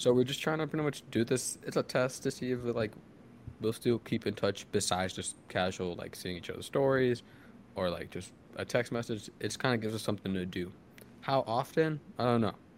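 The speaker has a normal speaking voice with ordinary pitch variation. The pace is fairly quick. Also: man, medium pitch for a man. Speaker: podcast host. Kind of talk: casual chat.

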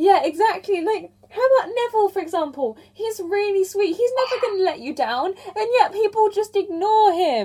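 Speaking at a moderate pace, a woman uses an extremely high pitch and lively intonation. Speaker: podcast host. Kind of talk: interview podcast. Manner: casual.

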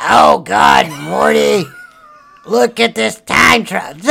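In a put-on character voice, a raspy man drawls at a very slow pace with a fairly low pitch. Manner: burpy, gravelly.

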